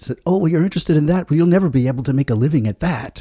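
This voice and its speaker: A man talks at a very fast pace in a fairly high pitch, with a dark, mellow tone, somewhat breathy delivery, lively intonation, and a dry, close sound with no echo. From United States. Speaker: podcast panelist. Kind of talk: casual chat. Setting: studio.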